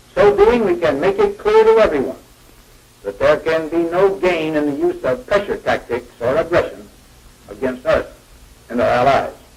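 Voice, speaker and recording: A man with an American accent at a moderate pace, long, frequent pauses, and noticeable background noise behind him. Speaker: US president giving a televised address. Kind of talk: formal presidential address.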